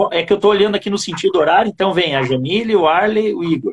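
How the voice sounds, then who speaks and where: The man speaks with a high pitch. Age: 30s. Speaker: high school geography teacher and live show host. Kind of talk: casual online panel chat. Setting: video call live stream.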